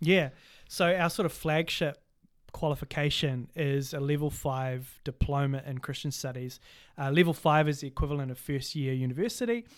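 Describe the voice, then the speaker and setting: In a very clean recording with a silent background, a man with a New Zealand accent speaks at a fairly high pitch with ordinary pitch variation. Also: moderate pace. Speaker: Bible college academic director and podcast co-host. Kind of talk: casual chat. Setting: studio.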